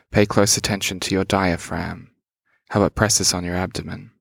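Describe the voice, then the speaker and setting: Monotone, flat intonation from a man with an Australian accent and a fairly low pitch, on a very clean recording with a silent background. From rural Australia. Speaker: podcast host. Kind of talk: scripted narration; guided meditation.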